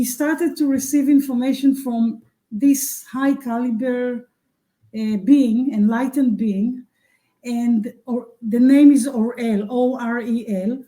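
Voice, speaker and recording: A dark, mellow tone at a very slow pace, with fairly even intonation. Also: woman, high pitch for a woman. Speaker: spiritual teacher. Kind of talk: interview. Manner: halting.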